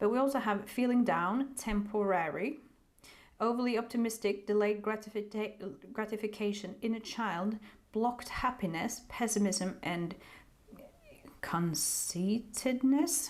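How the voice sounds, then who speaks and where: At a fairly slow pace, the speaker talks with a non-native accent and ordinary pitch variation. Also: woman, fairly high pitch for a woman. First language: not English. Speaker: tarot reader. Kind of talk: tarot reading. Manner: halting.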